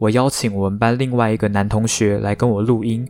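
With a Taiwanese accent, a man speaks at a moderate pace. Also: very clean recording, silent background. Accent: Taiwanese Mandarin. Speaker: podcast host. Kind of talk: casual storytelling monologue.

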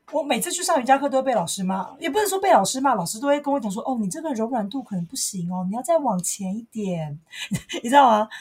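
A woman talks very fast at a high pitch, her voice swinging very widely up and down. Noticeable background noise runs behind her. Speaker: podcast co-host. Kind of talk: casual chat. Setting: home recording.

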